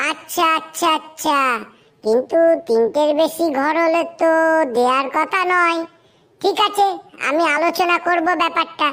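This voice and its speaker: A woman's squeaky, cartoonish character voice at an extremely high pitch, with very even loudness. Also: fairly slow pace, ordinary pitch variation. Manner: brisk, impatient.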